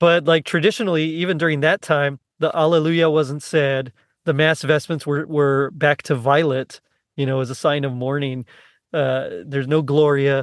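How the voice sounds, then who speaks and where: A man with an American accent uses a normal speaking voice at a moderate pace. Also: fairly high pitch for a man, fairly even intonation. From South Texas (Rio Grande Valley). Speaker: podcast host. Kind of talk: casual chat.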